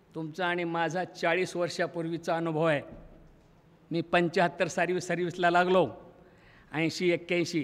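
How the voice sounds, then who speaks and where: This man's pitch is high. His delivery is monotone and flat. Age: 70s. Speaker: retired school teacher and college principal; retired school teacher. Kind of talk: speech at school reunion. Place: hall. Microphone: podium.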